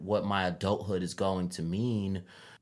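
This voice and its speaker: A man talks at a moderate pace in a plain, everyday voice with fairly low pitch and fairly even intonation. The recording is very clean, with a silent background. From Chicago, west side. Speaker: rapper and librarian. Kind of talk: interview.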